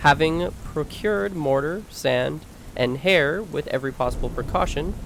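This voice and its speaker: A soft-spoken man talks with a fairly high pitch. His pitch variation is ordinary. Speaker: audiobook narrator. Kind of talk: reading aloud.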